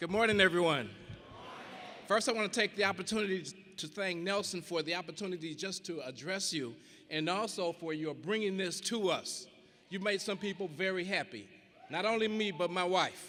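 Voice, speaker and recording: With a raised, projected voice, a man speaks at a moderate pace in a high pitch with ordinary pitch variation. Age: 70s. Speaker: product user giving testimony. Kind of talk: testimony.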